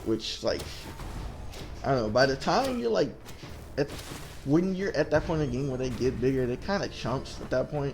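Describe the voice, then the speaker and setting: A man's fairly high voice with ordinary pitch variation, a moderate pace and long, frequent pauses, music playing in the background. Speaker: gaming youtuber. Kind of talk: gameplay commentary. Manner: stuttering; casual rambling.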